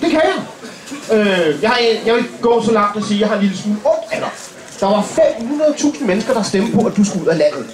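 Noticeable background noise sits behind a man who speaks with a high pitch and lively intonation at a moderate pace. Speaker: comedian. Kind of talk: stand-up comedy roast. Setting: stage with audience. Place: stage. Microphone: camera far.

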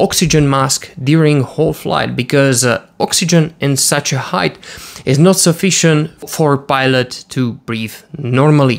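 Here a man speaks at a moderate pace. His pitch variation is ordinary. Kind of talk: explainer commentary. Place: home room. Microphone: studio mic.

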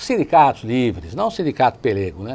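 A man talks with vocal fry. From Brazil, São Caetano do Sul (São Paulo ABC region); São Paulo, Brazil. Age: 60s. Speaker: lawyer and city councillor, co-host; lawyer, city councillor, co-host. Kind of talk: TV talk show discussion. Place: studio. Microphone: lapel.

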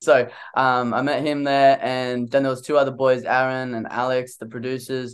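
The speaker talks in an Australian accent with monotone, flat intonation against a quiet background. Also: man, moderate pace. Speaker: singer-songwriter; interviewee. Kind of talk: interview. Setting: video call. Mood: relaxed, friendly. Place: home room. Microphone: studio mic.

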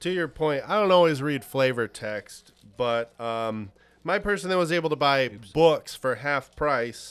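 A man at a moderate pace with very wide pitch swings. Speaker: board game reviewer. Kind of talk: casual review discussion. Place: studio. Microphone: studio mic.

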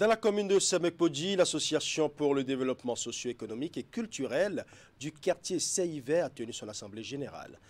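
Lively intonation and big swings in loudness at a moderate pace. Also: man, fairly high pitch for a man. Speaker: TV news anchor. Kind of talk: news reading. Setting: studio. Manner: formal. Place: studio.

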